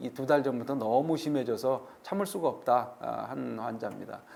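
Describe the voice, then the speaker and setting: A man talking at a fairly slow pace. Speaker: orthopedic surgeon and professor. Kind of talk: lecture. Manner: halting, many fillers.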